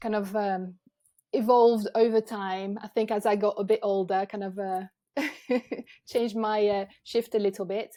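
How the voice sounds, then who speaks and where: In a French accent, a woman speaks with a fairly high pitch and a dark, mellow tone. Her intonation stays fairly even, and the recording is very clean with a silent background. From France, Avignon. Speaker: photographer. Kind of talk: podcast interview. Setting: video podcast.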